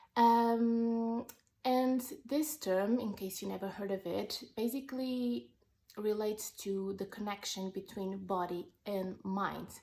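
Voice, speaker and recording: With a non-native accent, a woman talks at a very slow pace in a dark, mellow tone, her fairly high pitch showing ordinary variation. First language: not English. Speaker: wellness vlogger. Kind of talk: personal vlog monologue. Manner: halting, with fillers.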